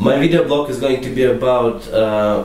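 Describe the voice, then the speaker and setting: Amid audible room echo and noticeable background noise, a man with an Eastern European accent talks at a medium pitch and a moderate pace. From Latvia, Russian-speaking family. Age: 20s. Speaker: student vlogger. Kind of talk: comedic vlog.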